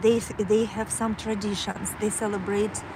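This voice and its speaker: Here a woman speaks with a Kazakh accent. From Kazakhstan. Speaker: livestreamer. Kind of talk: casual livestream monologue. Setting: outdoors on a walk. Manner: halting, many fillers.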